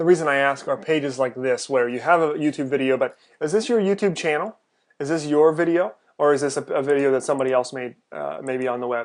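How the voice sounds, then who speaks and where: Against a quiet background, a man talks at a very fast pace with a fairly high pitch and ordinary pitch variation. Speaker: freelance website reviewer. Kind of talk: screen-recorded website review. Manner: hesitant, many fillers.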